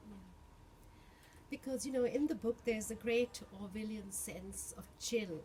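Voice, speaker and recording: A woman speaks at a moderate pace and a fairly high pitch, with ordinary pitch variation and big swings in loudness. She takes long, frequent pauses, and there is noticeable background noise. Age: 60s. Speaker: bookseller. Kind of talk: interview. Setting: bookshop.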